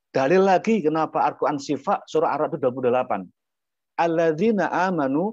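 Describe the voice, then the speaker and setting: Over a quiet background, a man speaks fairly quickly in a fairly high voice. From Indonesia, Lampung (Javanese parents). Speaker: Islamic preacher. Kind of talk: religious talk. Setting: video call.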